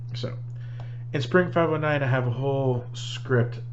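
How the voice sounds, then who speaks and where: A man at medium pitch talks at a fairly slow pace amid noticeable background noise. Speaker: solo tabletop role-playing gamer. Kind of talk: casual talk to camera recapping a game session. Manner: hesitant, with frequent filler words.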